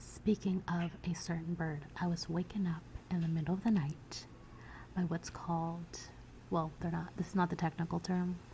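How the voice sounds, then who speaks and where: In an American accent, a woman speaks at a fairly low pitch with a dark, mellow tone and vocal fry. Her intonation is monotone and flat, and her tone is relaxed. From United States (Virginia). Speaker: self-taught surrealist artist. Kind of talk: ASMR soft-spoken talk to camera. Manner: soft-spoken, relaxed.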